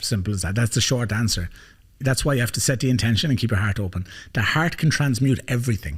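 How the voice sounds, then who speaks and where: Talking at a very fast pace with an Irish accent, a man sounds somewhat breathy and animated, keeping a very even loudness and ordinary pitch variation. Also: medium pitch for a man. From Ireland. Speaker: life coach, podcast host. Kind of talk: podcast conversation.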